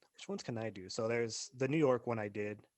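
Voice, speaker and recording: A man with an American accent talks at a fairly quick pace, his pitch varying in an ordinary way. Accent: American accent, self-noticed. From Arizona, US. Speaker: podcast co-host. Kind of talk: casual chat.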